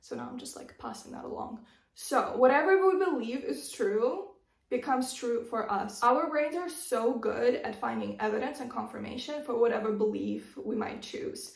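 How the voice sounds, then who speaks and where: A high-pitched woman speaks with very wide pitch swings and big swings in loudness. Room echo is audible. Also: moderate pace. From Russia (Moscow), teen years in Arizona, US. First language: Russian. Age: 20s. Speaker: lifestyle YouTuber. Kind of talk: advice vlog. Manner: casual, conversational.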